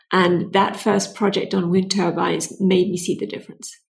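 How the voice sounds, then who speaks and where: A somewhat breathy woman with a British accent, medium pitch and moderate pace. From Britain. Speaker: clean tech entrepreneur. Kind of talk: interview.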